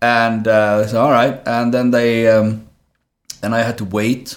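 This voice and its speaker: At a fairly slow pace, a man with a Swedish accent speaks at a medium pitch with monotone, flat intonation. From southern Sweden. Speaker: actor. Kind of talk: casual interview.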